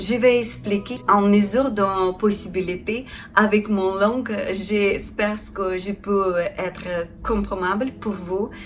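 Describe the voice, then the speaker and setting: In a Ukrainian accent, a woman speaks at medium pitch and a very slow pace with monotone, flat intonation. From Ukraine. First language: Ukrainian (speaking French). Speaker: felting artisan. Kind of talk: tutorial. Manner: halting, many hesitations.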